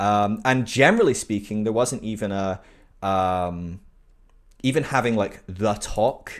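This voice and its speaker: The recording is very clean, with a silent background. In it, a man talks at a fairly low pitch. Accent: British. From UK. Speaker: podcast guest. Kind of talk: casual interview chat. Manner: halting, many fillers.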